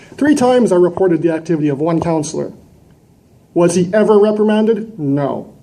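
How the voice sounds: This man talks at a moderate pace with a high pitch, a dark, mellow tone and lively intonation, with audible room echo.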